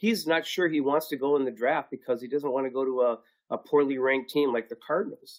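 An ordinary speaking voice from a man with an American accent, a medium pitch, ordinary pitch variation and a fairly quick pace. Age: 60s. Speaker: recruiter and fill-in co-host. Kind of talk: live-streamed panel discussion. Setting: video call.

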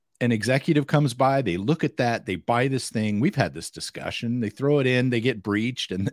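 In an ordinary speaking voice, a man of medium pitch talks at a moderate pace with an American accent and lively intonation, the recording very clean with a silent background and a dry, close sound with no echo. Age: 50s. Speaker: cybersecurity podcast co-host. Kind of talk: casual chat. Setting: live stream.

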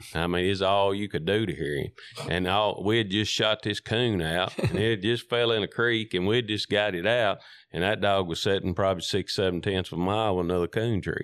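A man with a West Tennessee accent talks at a fairly quick pace and fairly low pitch, with fairly even intonation. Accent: Southern US (West Tennessee). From US South, McNairy County, Tennessee. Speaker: coon hunter. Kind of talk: casual storytelling interview. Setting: in-person interview.

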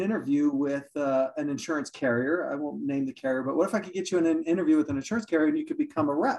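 With lively intonation, a man talks at a very fast pace with hardly any pauses. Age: 40s. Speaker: insurance executive and podcast host. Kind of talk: podcast interview.

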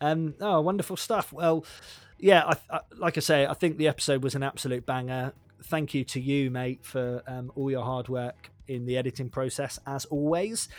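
On a very clean recording with a silent background, a man speaks with a Devon accent at a fairly high pitch. His pace is moderate and his pitch varies in an ordinary way. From Devon, England. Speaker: podcast host. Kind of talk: casual chat. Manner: chatty, laughing.

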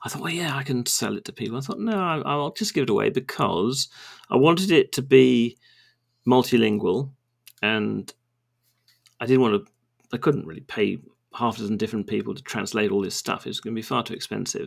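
A man with a southern English accent and vocal fry speaks at a fairly quick pace with lively intonation, big swings in loudness, and long, frequent pauses. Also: medium pitch for a man. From England. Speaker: database developer, former lawyer. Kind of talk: casual interview chat.

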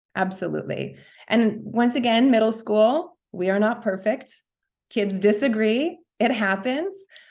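A woman with an American accent uses an ordinary speaking voice, fairly high in pitch with ordinary variation, at a fairly slow pace. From New York. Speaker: school principal. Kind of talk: casual interview.

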